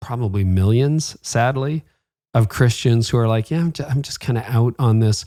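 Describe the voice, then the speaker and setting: Here is a plain, everyday voice: a man with a Canadian accent, medium pitch and ordinary pitch variation. He keeps a moderate pace in a very clean recording with a silent background. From Canada. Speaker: podcast host. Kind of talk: interview.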